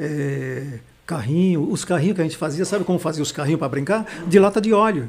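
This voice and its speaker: An ordinary speaking voice, this man talks at a fairly quick pace with fairly high pitch and ordinary pitch variation. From Recife, Pernambuco, Brazil. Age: 60s. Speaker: pastor and teacher. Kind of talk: casual interview. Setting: studio livestream.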